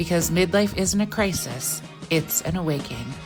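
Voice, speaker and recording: Music is playing behind the speaker. A woman talks fairly slowly. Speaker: podcast host. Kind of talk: podcast intro.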